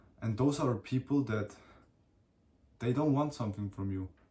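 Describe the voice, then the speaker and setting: A man's somewhat breathy voice carries a dark, mellow tone. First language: not English. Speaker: solo podcaster / vlogger. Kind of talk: casual monologue. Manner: halting.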